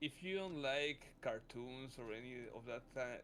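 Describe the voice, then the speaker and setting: Speaking with a Mexican accent, a man uses a fairly high pitch and ordinary pitch variation at a fairly slow pace. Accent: non-stereotypical Mexican. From Mexico. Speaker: streamer. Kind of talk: casual chat.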